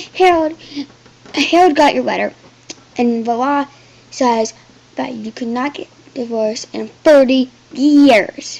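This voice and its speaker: A woman uses a growling, put-on character voice pitched high, speaking at a fairly slow pace with long, frequent pauses. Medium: read story. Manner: snarling.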